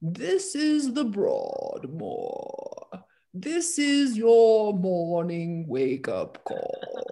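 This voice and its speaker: A man puts on a character voice at an extremely high pitch. He speaks very slowly. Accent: British. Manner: snooty, haughty.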